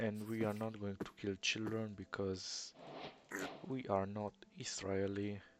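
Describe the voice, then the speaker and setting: A man's fairly low voice in an Eastern European accent, monotone and flat, at a very slow pace. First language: not English. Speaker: gamer. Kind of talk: gameplay commentary. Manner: audible breathing in.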